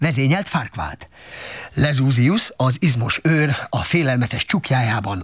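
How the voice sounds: A natural reading voice, its pitch varying in an ordinary way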